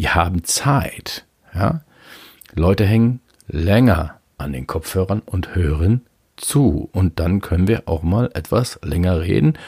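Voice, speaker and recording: Recorded dry and close with no echo, a man talks very slowly with lively intonation. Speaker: podcaster. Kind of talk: solo monologue. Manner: casual, with many fillers.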